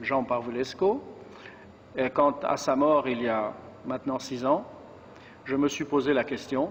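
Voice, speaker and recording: A man with a fairly high pitch speaks at a fairly slow pace with fairly even intonation. Noticeable background noise runs behind him. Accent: French. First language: French (speaking Romanian). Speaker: monk, book launch speaker. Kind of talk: formal speech. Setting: book launch event.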